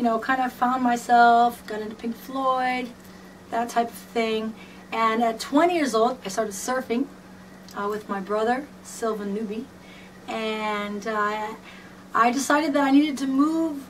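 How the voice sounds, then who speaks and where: Ordinary pitch variation marks the speech, which has noticeable background noise. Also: woman, fairly high pitch for a woman, fairly slow pace. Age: 30s. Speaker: fan and dancer/performer. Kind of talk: personal video message, reading from a script. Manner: animated, casual.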